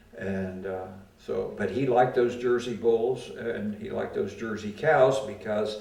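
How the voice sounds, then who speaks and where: There is noticeable background noise as a man speaks at a medium pitch. His pace is fairly slow. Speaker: World War II veteran. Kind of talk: oral history interview answer.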